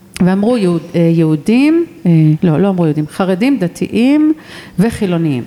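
A woman speaks at a moderate pace with very wide pitch swings and very even loudness. Noticeable background noise is present. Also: medium pitch for a woman. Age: 50s. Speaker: podcast host. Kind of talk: interview. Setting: museum in Jerusalem.

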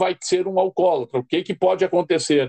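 Here a man talks at a moderate pace with a high pitch and ordinary pitch variation. The background is quiet, and the sound is dry and close, with no echo. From southern Brazil, Rio Grande do Sul. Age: 50s. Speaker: addiction counselor and social worker. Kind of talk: interview.

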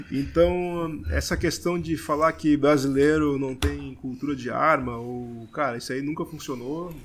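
A man speaks in a plain, everyday voice, fairly high in pitch, at a fairly slow pace with fairly even intonation and hardly any pauses. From Blumenau, Santa Catarina, southern Brazil. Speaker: brewer. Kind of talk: casual podcast interview.

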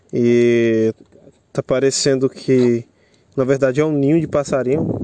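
Recorded dry and close with no echo, a man's fairly high voice has a dark, mellow tone and fairly even intonation. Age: 20s. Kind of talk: casual chat. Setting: outdoors.

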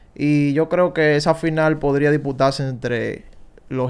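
Fairly even intonation marks a man's fairly high pitch in an ordinary speaking voice. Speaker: baseball analyst. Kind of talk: casual chat.

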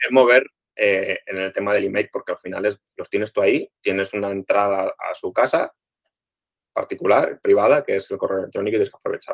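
A man at a fairly quick pace, in a dry, close sound with no echo. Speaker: podcast co-host, online shop owner. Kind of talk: casual chat.

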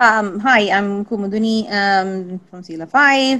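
A woman at medium pitch with a bright, sharp tone, ordinary pitch variation and a fairly slow pace

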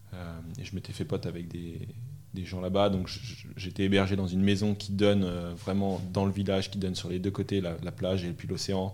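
At a fairly quick pace, a man with a very deep, low voice and a dark, mellow tone speaks in a monotone, flat way. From France, Normandy and Paris region. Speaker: coding school manager. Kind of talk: interview. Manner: hesitant, many repetitions.

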